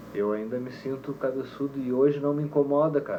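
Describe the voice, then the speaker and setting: A man speaks in a calm, relaxed tone. Noticeable background noise and audible room echo are present. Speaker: musician and teacher, reggae band leader. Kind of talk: casual interview chat.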